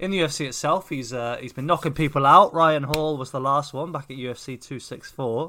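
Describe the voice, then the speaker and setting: The tone is bright and sharp, with ordinary pitch variation. Speech runs at a fairly quick pace with hardly any pauses. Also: man, fairly high pitch for a man, big swings in loudness. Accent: English. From England. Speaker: MMA podcast co-host. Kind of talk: casual chat.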